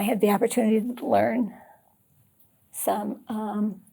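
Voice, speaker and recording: A woman speaks in a monotone, flat intonation. Her tone is dark, mellow and somewhat breathy. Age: 70s. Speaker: patient advocate. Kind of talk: interview. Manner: halting.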